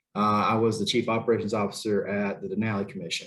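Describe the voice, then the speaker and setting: The voice carries a Southern US accent. It moves at a moderate pace. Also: man. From Tennessee (Chattanooga). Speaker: federal program official. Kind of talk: panel discussion.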